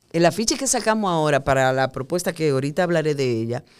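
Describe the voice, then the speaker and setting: With very wide swings in pitch, a woman's speech rises and falls. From Dominican Republic, Puerto Plata. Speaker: theatre director and actress. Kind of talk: casual interview. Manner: animated.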